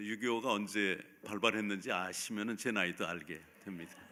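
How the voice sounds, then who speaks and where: His tone is bright and sharp, with a fairly low pitch. The man speaks at a moderate pace. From South Korea, Seoul. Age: 70s. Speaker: pastor. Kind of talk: sermon. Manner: halting.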